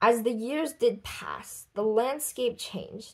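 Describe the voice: A woman speaks at a slow pace, her tone slightly mellow with a slightly husky edge.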